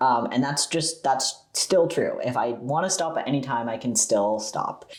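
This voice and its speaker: In a plain, everyday voice, a man talks at a moderate pace with a fairly high pitch and ordinary pitch variation. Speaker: youtuber. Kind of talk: casual Q&A chat to camera. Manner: chatty, many fillers and repeats.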